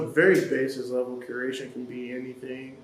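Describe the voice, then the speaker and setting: There is noticeable background noise and audible room echo. Through it, a man talks at a medium pitch. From Detroit, Michigan, US. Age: 20s. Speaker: college student, photographer and curator. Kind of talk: casual interview.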